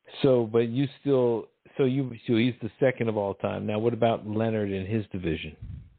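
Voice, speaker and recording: A man's plain, everyday voice, medium in pitch, with fairly even intonation and a moderate pace. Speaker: podcast host. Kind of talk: casual chat. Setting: internet radio show.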